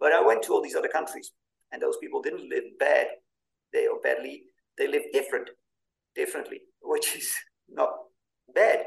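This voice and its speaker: Here a man talks with an extremely high pitch and ordinary pitch variation. His pace is moderate, broken by long, frequent pauses. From Netherlands. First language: Dutch. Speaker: podcast host and author. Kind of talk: interview.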